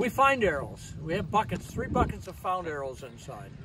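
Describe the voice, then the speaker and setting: Noticeable background noise sits under this clip. In it, a man speaks at a moderate pace. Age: 70s. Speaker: archery event founder. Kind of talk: casual interview. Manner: halting.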